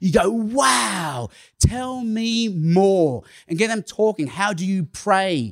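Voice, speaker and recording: The speaker has an Australian accent and lively intonation. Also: man. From Australia (Sydney). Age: 50s. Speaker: evangelist. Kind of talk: conference talk. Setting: stage with audience.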